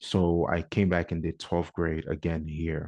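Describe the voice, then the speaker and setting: A man's very deep, low voice with a slight African accent, fairly even intonation and a moderate pace over a quiet background. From New York (Bronx), with teen years in Ghana. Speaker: podcast co-host, educator. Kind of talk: casual podcast chat.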